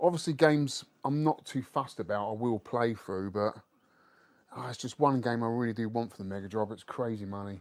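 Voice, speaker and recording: Speaking in a London accent, a man talks at a fairly quick pace. His voice is medium in pitch with ordinary pitch variation. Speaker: retro gaming streamer. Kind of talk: casual live stream chat.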